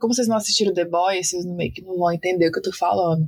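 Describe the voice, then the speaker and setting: A woman with a plain, everyday voice, medium pitch and ordinary pitch variation in a dry, close sound with no echo. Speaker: podcast host. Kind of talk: casual chat.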